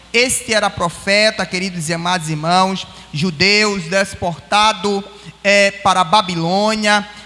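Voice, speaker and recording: A man speaks in a raised, projected voice, pitched high for a man, at a fairly slow pace. His intonation stays fairly even, with noticeable background noise behind him. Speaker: pastor. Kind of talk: sermon. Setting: church.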